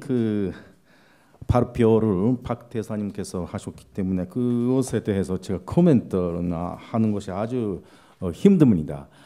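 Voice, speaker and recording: A man speaks at a very slow pace. His medium-pitched voice has a dark, mellow tone. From Japan. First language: Japanese (speaking Korean). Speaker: panel discussant, visiting professor. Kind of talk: conference panel comment. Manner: halting, many fillers.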